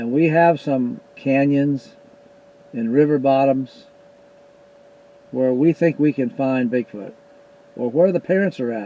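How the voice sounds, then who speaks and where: Over noticeable background noise, a man with an American accent speaks fairly slowly at a fairly high pitch, with ordinary pitch variation and long, frequent pauses. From US Pacific Northwest. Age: 80s+. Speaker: YouTuber, Bigfoot investigator. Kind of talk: casual monologue to viewers.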